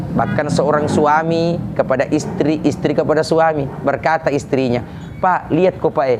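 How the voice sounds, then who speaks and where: Against noticeable background noise, a man with a fairly high pitch speaks at a moderate pace with fairly even intonation and very even loudness. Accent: Makassar. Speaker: Islamic preacher. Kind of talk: religious sermon.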